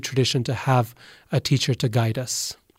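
Somewhat breathy, a man talks at a fairly quick pace, recorded dry and close with no echo. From Boise, Idaho, US. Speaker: professor of religion. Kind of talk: interview.

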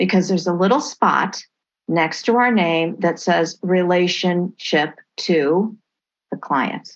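A woman with an American accent and an ordinary speaking voice, fairly low in pitch, with ordinary pitch variation and a fairly slow pace, against a quiet background. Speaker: adoptee and memoir author. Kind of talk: interview testimony.

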